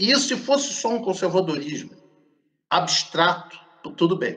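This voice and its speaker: Pitch swings very widely while the speech holds a moderate pace. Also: man. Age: 60s. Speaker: professor of Buddhist philosophy. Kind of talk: interview.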